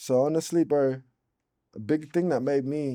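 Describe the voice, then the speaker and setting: Against a quiet background, a man with an American accent speaks at a fairly slow pace in a dark, mellow tone. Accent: American-sounding rap. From Australia, Brisbane south side. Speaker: rapper. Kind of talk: casual interview chat. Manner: talkative, slangy.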